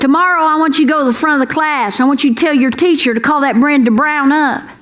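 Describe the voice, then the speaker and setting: A woman talks at a fairly quick pace in a high pitch, with ordinary pitch variation. Noticeable background noise and audible room echo fill the recording. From Kentucky. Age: 60s. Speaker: comedian. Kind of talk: stand-up. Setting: stage with audience. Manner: animated.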